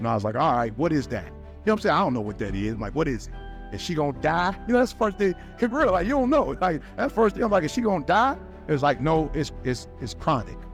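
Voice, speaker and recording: Backed by music, a man talks at a very fast pace in an energetic, passionate tone. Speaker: motivational speaker. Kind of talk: personal story told to an audience.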